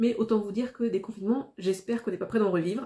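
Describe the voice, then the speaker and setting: The tone is dark and mellow, a little breathy, and the intonation stays fairly level. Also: woman. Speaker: YouTuber. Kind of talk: casual vlog monologue. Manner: not well articulated.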